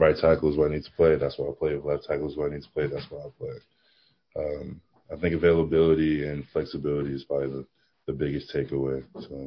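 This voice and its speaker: A man with a very deep, low voice and an American accent, very fast and monotone with flat intonation. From New Jersey. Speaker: professional football player. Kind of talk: interview. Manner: halting, many fillers.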